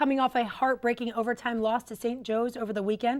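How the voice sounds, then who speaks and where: In a normal speaking voice, a woman talks at a fairly quick pace with a fairly high pitch. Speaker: sports reporter. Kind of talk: sports news report.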